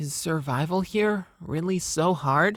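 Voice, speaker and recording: Moving fairly slowly, the put-on character voice stays at a middle pitch. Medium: audio drama. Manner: curious, earnest.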